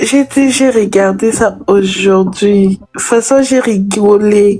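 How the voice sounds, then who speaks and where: At a very slow pace, a woman speaks with a medium pitch. Her intonation is fairly even. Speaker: live stream viewer. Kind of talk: casual chat.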